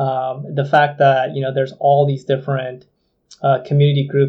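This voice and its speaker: A fairly quick, somewhat breathy man's voice with a fairly high pitch. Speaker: games industry executive. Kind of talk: casual chat.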